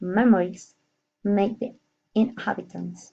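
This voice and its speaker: A somewhat breathy woman's voice, medium in pitch, with ordinary pitch variation. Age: 30s. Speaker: nurse. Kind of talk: prepared monologue. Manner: halting.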